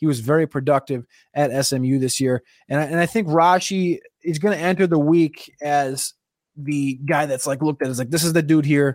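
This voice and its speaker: A man speaks with a New Jersey accent. The recording is very clean, with a silent background. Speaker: NFL draft analyst. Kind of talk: solo show preview, casual analysis. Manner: fast talker; casual, profane.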